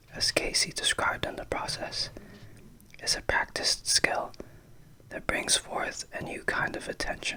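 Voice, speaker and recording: Someone whispers in a soothing tone at a fairly slow pace. Noticeable background noise sits behind the voice. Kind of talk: ASMR book reading, whispered. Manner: whispered, soothing.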